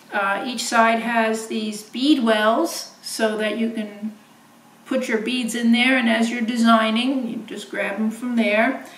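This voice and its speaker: Noticeable background noise and audible room echo surround a woman with a fairly high pitch. She talks at a very slow pace with monotone, flat intonation. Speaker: beading designer and inventor. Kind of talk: product demonstration. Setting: home video filmed by husband. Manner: halting, many fillers.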